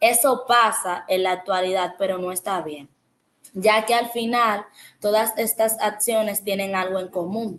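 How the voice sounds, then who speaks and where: A woman with an unremarkable speaking voice talks at a fairly slow pace and medium pitch with ordinary pitch variation. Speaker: education student. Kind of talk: educational podcast monologue.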